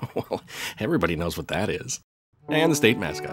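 Over music in the background, a man with a very deep, low pitch sweeps through very wide pitch swings. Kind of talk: humorous documentary trailer narration.

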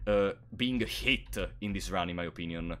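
A man's bright, sharp tone with vocal fry at a moderate pace, on a very clean recording with a silent background. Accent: Italian. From Italy. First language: Italian. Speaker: gaming streamer. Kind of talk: live gameplay stream commentary. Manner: frequent filler hesitations.

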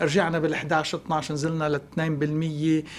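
A man talks. His pace is fairly slow. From Lebanon. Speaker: economist, professor; guest. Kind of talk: TV news interview. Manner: hesitant fillers. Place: studio. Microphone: lapel.

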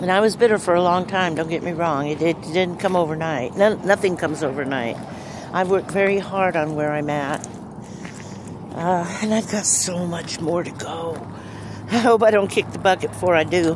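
A woman with a fairly low pitch and ordinary pitch variation speaks with long, frequent pauses, in a dry sound with no echo and noticeable background noise. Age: 60s. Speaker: van-life vlogger. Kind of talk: casual vlog talk to camera. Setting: outdoors. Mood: earnest, encouraging. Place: open country.

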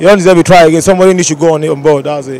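A man speaks in a high pitch with ordinary pitch variation. The sound is dry, with no echo. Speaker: interviewee. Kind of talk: interview answer. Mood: frustrated, earnest. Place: street. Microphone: handheld.

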